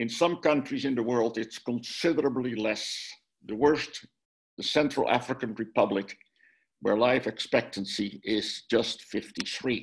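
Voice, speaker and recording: With a Dutch accent, a man talks fairly slowly at a medium pitch, using ordinary pitch variation. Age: 70s. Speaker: minister and author. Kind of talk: lecture. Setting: video call.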